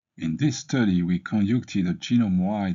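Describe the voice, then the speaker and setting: The speaker is a man with a French accent. His pitch varies in an ordinary way. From France. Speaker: medical researcher. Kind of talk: scripted presentation of research. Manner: formal.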